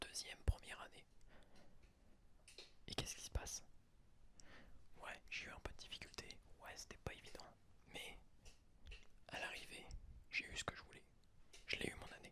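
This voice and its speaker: Whispering, a man pauses long and often while his loudness swings widely. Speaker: ASMR podcaster. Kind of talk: ASMR podcast, whispered personal reflection. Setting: studio, close microphone. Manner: whispered, soft-spoken.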